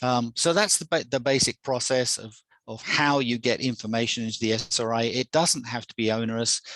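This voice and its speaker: Speaking at a fairly quick pace with an English accent, a man of medium pitch sounds dry and close with no echo. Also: ordinary pitch variation, big swings in loudness. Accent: English accent, people think Australian. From England. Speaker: software presenter. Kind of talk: product demo presentation. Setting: video call webinar. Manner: halting, many repetitions. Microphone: new headset.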